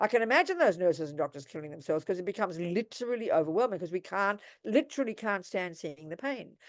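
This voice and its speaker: Speaking at a fairly quick pace in an Australian accent, this voice swings very widely in pitch against a quiet background. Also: woman. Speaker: Buddhist nun and teacher. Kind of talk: dharma talk with Q&A. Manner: animated.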